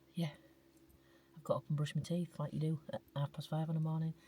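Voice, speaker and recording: A woman whispers at a moderate pace. Her voice is somewhat breathy. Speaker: travel vlogger. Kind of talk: casual vlog narration. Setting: in a car; outdoors. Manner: whispering.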